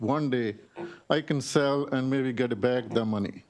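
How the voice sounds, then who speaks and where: A man with an ordinary speaking voice talks at medium pitch and a fairly slow pace, with fairly even intonation. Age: 60s. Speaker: small business owner testifying. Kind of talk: legislative testimony. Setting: committee hearing room. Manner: pleading, emotional.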